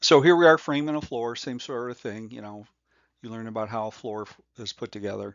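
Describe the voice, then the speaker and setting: Big swings in loudness mark this man's unremarkable speaking voice, which has a medium pitch, ordinary pitch variation, a fairly quick pace and an American accent. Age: 60s. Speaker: home inspection instructor. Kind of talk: tutorial. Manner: casual, with many fillers.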